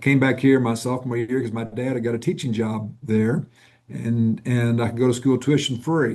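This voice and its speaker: In a Southern US accent, a man talks at a moderate pace with a medium pitch, a dark, mellow tone and fairly even intonation. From US South, Northwest Arkansas. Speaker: nonprofit executive. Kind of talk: interview.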